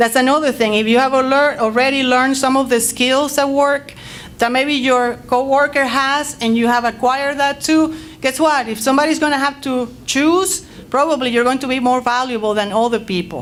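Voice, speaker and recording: Loud and high-pitched, a woman speaks with a Spanish accent. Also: moderate pace. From Latin America. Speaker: teacher and panelist. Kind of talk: panel discussion. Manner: animated.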